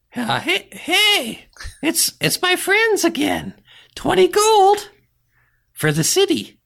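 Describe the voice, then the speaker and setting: This put-on character voice sits at an extremely high pitch and moves at a very slow pace with long, frequent pauses, on a very clean recording with a silent background. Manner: chirpy, wheedling, greedy.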